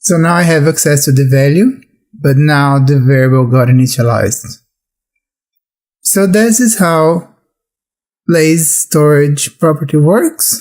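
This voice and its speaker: With a non-native accent, a man speaks at a fairly slow pace and fairly high pitch, using lively intonation and very even loudness, broken by long, frequent pauses. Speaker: programming instructor. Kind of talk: tutorial.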